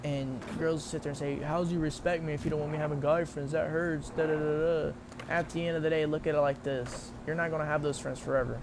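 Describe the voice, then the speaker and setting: Over noticeable background noise and audible room echo, a man talks at a very fast pace with hardly any pauses, his fairly high voice flat and monotone. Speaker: gaming livestreamer. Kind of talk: casual chat. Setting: livestream. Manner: halting.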